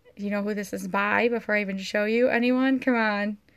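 Woman at a moderate pace with fairly even intonation. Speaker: online reseller. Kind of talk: casual livestream tutorial. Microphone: phone near.

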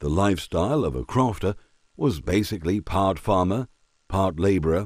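The background stays quiet. Plain reading aloud comes with lively intonation.

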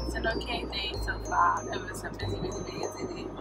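Music can be heard in the background while a woman talks. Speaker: vlogger. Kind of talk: casual vlog chat. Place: car. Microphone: phone near.

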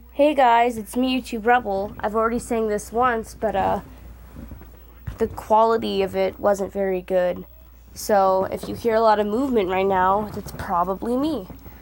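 At a moderate pace, a woman speaks with fairly even intonation over light background noise. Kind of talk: casual vlog chat. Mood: self-deprecating, giggly.

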